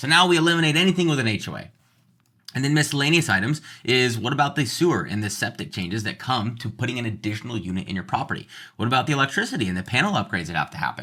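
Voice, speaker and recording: A man talks very fast in a bright, sharp tone with very wide pitch swings. The recording is very clean with a silent background. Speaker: real estate agent. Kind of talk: tutorial.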